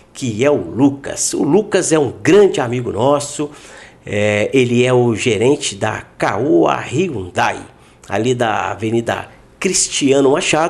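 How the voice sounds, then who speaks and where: Very slow, lively speech from a man at medium pitch. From Minas Gerais, Brazil. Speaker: podcast host. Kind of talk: casual interview chat.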